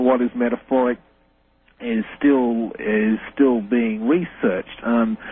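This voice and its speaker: A man with an Australian accent at a medium pitch, fairly slow pace and fairly even intonation. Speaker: reverse speech researcher. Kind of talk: radio interview.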